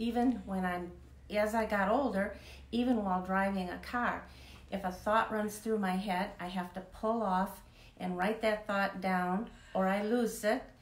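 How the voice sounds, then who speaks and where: Audible room echo surrounds a monotone, flat delivery at a fairly slow pace. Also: woman, medium pitch for a woman. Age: 70s. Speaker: author. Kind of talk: interview. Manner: halting.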